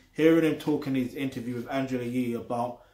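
There is audible room echo around a man talking against a quiet background. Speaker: music reviewer. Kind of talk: album review commentary. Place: home room. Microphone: webcam.

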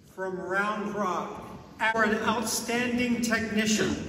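Strong room echo surrounds a man speaking at a high pitch with a fairly bright tone. His pace is slow and his intonation fairly even.

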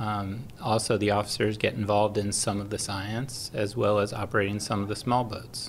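In an American accent, a man speaks at a moderate pace and a fairly low pitch, somewhat breathy and monotone, with hardly any pauses. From Long Island, New York. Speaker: government aviator, pilot. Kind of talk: interview. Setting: hangar. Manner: hesitant with fillers.

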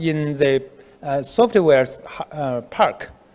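A man speaks with a Chinese accent and lively intonation. His pace is very slow. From China. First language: Mandarin Chinese. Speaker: research institute director. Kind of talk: interview. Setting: on location. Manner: halting. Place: office. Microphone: handheld.

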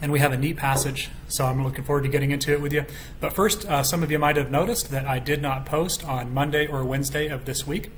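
A man speaks at a very fast pace with fairly even intonation. Light background noise is present. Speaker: bible study teacher. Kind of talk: bible study teaching. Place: home room. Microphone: webcam.

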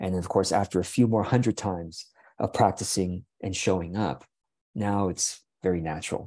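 Over a quiet background, a man with a very deep, low pitch speaks at a moderate pace in a dark, mellow tone with fairly even intonation. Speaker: video creator and coach. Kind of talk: monologue talk to camera. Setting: video recording. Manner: halting, with fillers and repetitions; reflective, warm.

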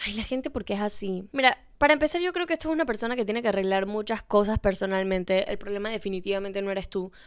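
A woman's animated, very fast speech with lively intonation and hardly any pauses, over a quiet background. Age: 20s. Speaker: podcast host; podcast host giving advice. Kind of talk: casual chat. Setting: bedroom. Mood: expressive, animated, empathetic. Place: home room. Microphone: handheld.

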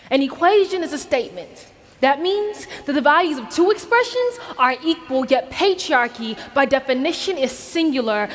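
Over music in the background, a woman talks with a high pitch and very wide pitch swings. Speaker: spoken word poet. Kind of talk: spoken word poem performed to a conference audience. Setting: stage with audience. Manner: impassioned, rhythmic and emphatic, building to a rallying close. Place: stage. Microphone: headset.

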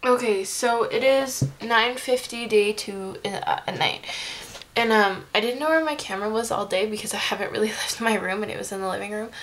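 A woman speaks at a fairly quick pace in a tired tone. Her pitch rises and falls in an ordinary way. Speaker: vlogger. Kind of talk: casual vlog chat. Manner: tired, swollen-mouthed low speech. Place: home room. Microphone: webcam.

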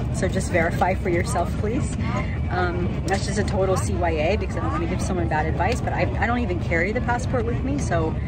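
Over loud background noise, a woman talks at a very fast pace. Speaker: travel vlogger. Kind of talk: casual vlog chat. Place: train. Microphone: phone near.

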